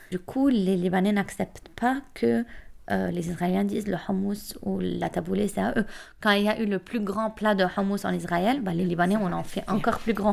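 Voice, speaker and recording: A normal speaking voice shows ordinary pitch variation and keeps to a moderate pace. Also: woman, medium pitch for a woman. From Lebanon. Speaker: student. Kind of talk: casual chat.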